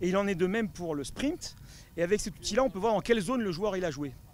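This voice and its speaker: Using lively intonation, a man with a high pitch speaks at a fairly quick pace. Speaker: football fitness coach. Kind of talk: interview. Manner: fast; hesitant with fillers.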